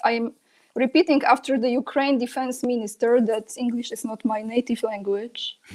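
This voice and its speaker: Speaking in a Polish accent at a moderate pace, a woman with a high pitch keeps her intonation fairly even. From Poland. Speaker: political commentator. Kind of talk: interview.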